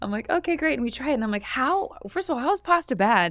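A woman at a very fast pace with very wide pitch swings. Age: 30s. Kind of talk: casual chat.

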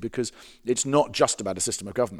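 In an English accent, the speaker talks at a very fast pace with ordinary pitch variation on a very clean recording with a silent background. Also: man. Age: 40s. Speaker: pastor and author. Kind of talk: interview.

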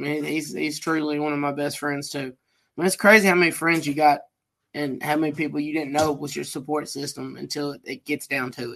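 Against a quiet background, a man uses an ordinary speaking voice, fairly high in pitch and fairly even in intonation. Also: fairly quick pace. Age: 30s. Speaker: podcast co-host. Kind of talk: casual chat.

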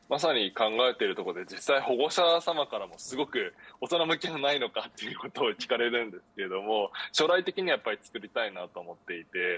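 The recording is dry and close with no echo as a man speaks at a fairly quick pace. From Japan, Chiba. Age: 20s. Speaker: startup founder, reading education. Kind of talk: interview. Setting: remote appearance.

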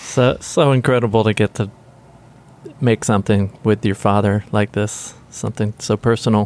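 In an American accent, a man talks in an ordinary speaking voice at a fairly low pitch. He keeps a moderate pace, fairly even intonation and very even loudness. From US South, Nashville. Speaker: record producer. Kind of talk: interview. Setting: recording studio.

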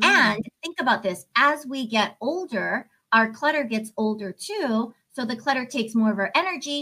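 A woman with a plain, everyday voice speaks at a fairly quick pace. Her fairly high pitch carries lively intonation. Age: 50s. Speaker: life coach and author. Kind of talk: podcast interview.

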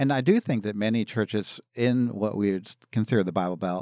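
Very clean and silent in the background, the recording has a dry, close sound with no echo. A man with an American accent has an ordinary speaking voice, a fairly low pitch, ordinary pitch variation and a moderate pace. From Philadelphia area, US. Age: 60s. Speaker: pastor. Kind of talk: interview.

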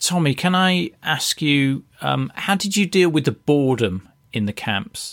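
A man speaks in a British accent at a fairly slow pace. His fairly high voice moves in very wide pitch swings. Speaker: podcast host. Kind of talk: scripted narration.

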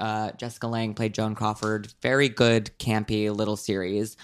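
A man's fairly low voice, flat and monotone, at a moderate pace, in a very clean recording with a silent background. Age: 20s. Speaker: podcast co-host. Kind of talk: casual chat.

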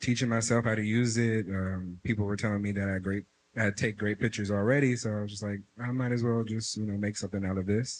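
In an unremarkable speaking voice, a man talks at a fairly low pitch with fairly even intonation. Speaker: audience member. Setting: stage with audience.

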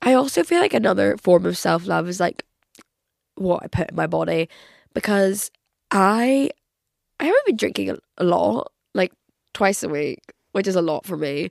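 In a Northern Irish accent, a woman speaks at a moderate pace with long, frequent pauses, the sound dry and close with no echo. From Northern Ireland. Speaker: podcast host. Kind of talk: casual chat. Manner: animated.

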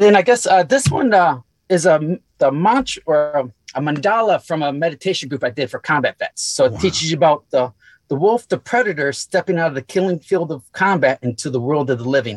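On a very clean recording with a silent background, a man with a plain, everyday voice talks fairly quickly at a fairly high pitch, with lively intonation and a dry, close sound with no echo. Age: 40s. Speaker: Marine veteran and carpenter. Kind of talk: casual interview.

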